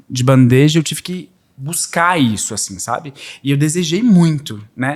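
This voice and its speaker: Against a silent background in a very clean recording, the words unfold at a fairly slow pace. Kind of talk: conversational.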